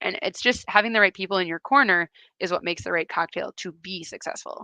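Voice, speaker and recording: Over a quiet background, a woman speaks at a very fast pace in a medium pitch, her bright, sharp tone in a dry, close sound with no echo. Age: 30s. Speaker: event rider and riding instructor. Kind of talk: live-stream interview. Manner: casual, chatty.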